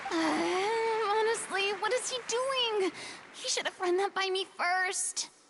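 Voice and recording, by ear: Speaking slowly in a put-on character voice, a woman pitches herself extremely high, with a fairly bright tone and ordinary pitch variation.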